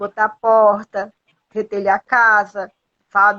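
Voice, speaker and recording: A woman's bright, sharp tone at a very slow pace. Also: dry, close sound with no echo, quiet background. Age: 60s. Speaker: motivational speaker. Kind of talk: live stream interview. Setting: live video call. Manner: halting.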